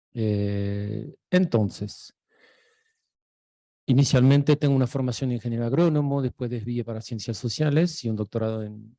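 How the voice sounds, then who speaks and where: With an Argentine accent, a man speaks at a medium pitch and a moderate pace, using ordinary pitch variation. His tone is dark and mellow, and the sound is dry and close with no echo. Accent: Argentine-tinged Spanish. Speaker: sociologist, researcher. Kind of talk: lecture. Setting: university lecture hall, also streamed online.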